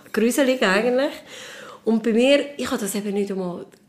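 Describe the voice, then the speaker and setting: Over noticeable background noise, a woman with a Swiss accent speaks with lively intonation. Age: 40s. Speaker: mother sharing postpartum experience. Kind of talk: casual chat.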